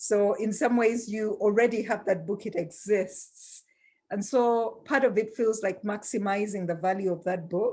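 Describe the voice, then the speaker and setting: In a very clean recording with a silent background, a woman of medium pitch speaks with a dark, mellow tone and fairly even intonation. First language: not English. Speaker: global health law academic. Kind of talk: panel discussion.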